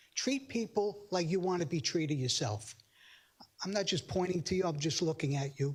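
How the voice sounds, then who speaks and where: With lively intonation, the speaker keeps to a moderate pace. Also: man, high pitch for a man. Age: 60s. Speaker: public commenter at council meeting. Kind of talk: public comment. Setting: town council chambers. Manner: halting, repetitive.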